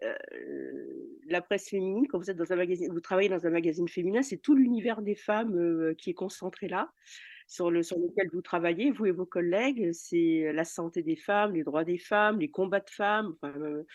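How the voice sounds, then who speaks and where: A woman talks at a moderate pace and medium pitch. Her pitch variation is ordinary. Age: 60s. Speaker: retired journalist. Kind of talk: interview. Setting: recorded outside the studio. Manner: hesitant, many fillers and repetitions.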